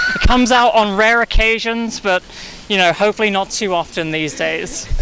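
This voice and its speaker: A raised, projected voice amid noticeable background noise. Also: man, high pitch for a man, ordinary pitch variation, moderate pace. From England, east London. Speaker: coffee shop manager. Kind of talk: casual interview.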